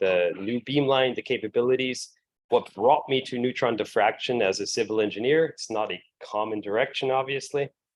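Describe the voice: A man with an American accent speaks at a moderate pace in a fairly low pitch.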